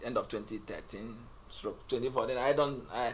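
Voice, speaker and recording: This is a man speaking with a Nigerian accent. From Nigeria, Igbo. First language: Igbo. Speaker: interview guest, businessman. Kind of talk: interview.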